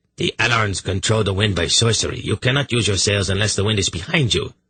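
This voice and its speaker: Using a put-on character voice, a man rattles along at a very fast pace, gruff and fairly low-pitched, with very even loudness. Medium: read story. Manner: gruff, stubborn.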